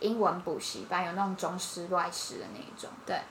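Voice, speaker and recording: A woman speaks at a moderate pace, her voice carrying audible room echo and noticeable background noise. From Taiwan, Taipei. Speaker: podcast co-host. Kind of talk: casual chat.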